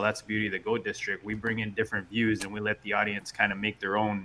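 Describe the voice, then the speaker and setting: Over noticeable background noise, a man with a fairly low voice talks at a very fast pace. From Canada. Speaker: podcast host. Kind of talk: casual chat.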